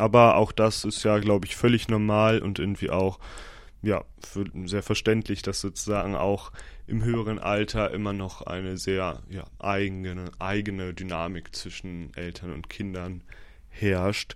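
A man talks in a plain, everyday voice. It sits at a fairly low pitch with fairly even intonation. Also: very clean recording, silent background. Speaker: podcaster and university student. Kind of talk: casual solo podcast monologue.

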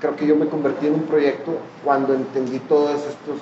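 Amid noticeable background noise and audible room echo, a man with a Mexican accent talks at a fairly slow pace in a fairly high pitch. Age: 40s. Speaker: artist and architect. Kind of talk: casual interview.

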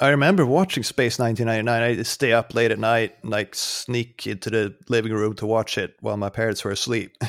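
Speaking in a Swedish accent, a man with a medium pitch and ordinary pitch variation moves at a fairly quick pace with hardly any pauses. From Sweden. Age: 40s. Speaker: game reviewer. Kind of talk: casual chat.

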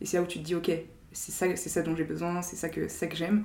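Her voice fairly low, a woman talks at a fairly quick pace with audible room echo. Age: 20s. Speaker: strategy consultant. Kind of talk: casual chat.

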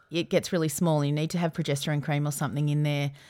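A woman's voice in an Australian accent, with fairly even intonation. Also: very clean recording, silent background. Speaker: podcast host. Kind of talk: casual chat.

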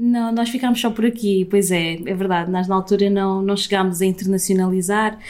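At a fairly quick pace, a woman talks with an unremarkable speaking voice, medium pitch, fairly even intonation and very even loudness. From Portugal. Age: 30s. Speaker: entrepreneur. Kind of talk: interview. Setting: office.

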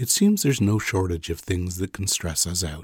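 Somewhat breathy and calm in tone, the voice keeps a moderate pace with ordinary pitch variation, recorded very cleanly against a silent background with a dry, close sound and no echo. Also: man. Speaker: meditation guide. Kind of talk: guided sleep meditation. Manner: calm, soft-spoken, reassuring.

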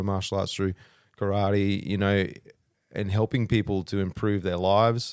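A man with an Australian accent talks at a moderate pace and a fairly low pitch, monotone and flat, in a dry, close sound with no echo on a very clean recording with a silent background. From rural Australia. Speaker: martial arts coach and wellness business owner. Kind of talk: casual chat.

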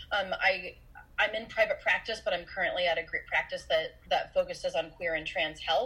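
A woman with an American accent at a moderate pace, with noticeable background noise. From US Midwest, Iowa. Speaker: mental health professional. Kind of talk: casual interview. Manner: halting, repeats words.

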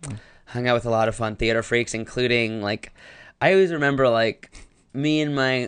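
A normal speaking voice with an American accent moves at a fairly quick pace with ordinary pitch variation against a quiet background. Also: man, medium pitch for a man. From US South, North Carolina. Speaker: actor and comedian. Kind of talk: casual chat.

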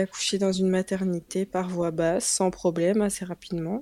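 A woman's dark, mellow voice at a medium pitch, fairly slow, with monotone, flat intonation. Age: 20s. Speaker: mother sharing breastfeeding experience. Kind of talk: casual interview.

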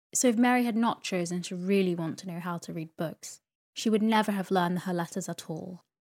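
A woman talks at a fairly quick pace in a plain, everyday voice, medium in pitch with ordinary pitch variation. Her loudness swings widely, on a very clean recording with a silent background. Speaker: sleep podcast host and narrator. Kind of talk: soothing bedtime story reading of a classic novel. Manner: soft-spoken, relaxed storyteller pacing.

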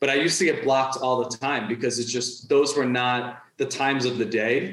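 This man has a normal speaking voice with an American accent and medium pitch. He talks at a moderate pace with ordinary pitch variation. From New York. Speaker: freelance writer and content strategist. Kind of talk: interview conversation.

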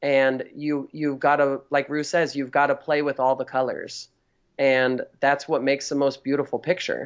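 A man with a Californian accent talks at a fairly high pitch and a moderate pace, his intonation monotone and flat. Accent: Californian American. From Northern California. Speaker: drag performer. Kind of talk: casual interview chat. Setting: remote call over Skype.

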